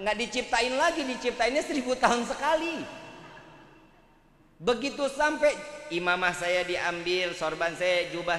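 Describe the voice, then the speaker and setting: A man talks at a moderate pace in an extremely high pitch with very wide pitch swings. Audible room echo and noticeable background noise fill the recording. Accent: Jakarta. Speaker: Islamic preacher. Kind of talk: sermon. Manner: animated.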